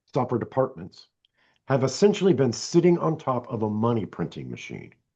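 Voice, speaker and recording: A man with vocal fry talks at a moderate pace and a medium pitch, his pitch swinging very widely. The background is quiet. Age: 60s. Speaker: software development coach. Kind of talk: casual interview chat.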